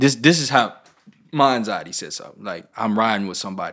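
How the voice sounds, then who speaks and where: Here a man speaks with an American accent at a moderate pace. The recording is very clean and the background silent. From Memphis, Tennessee. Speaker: rapper. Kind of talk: casual chat.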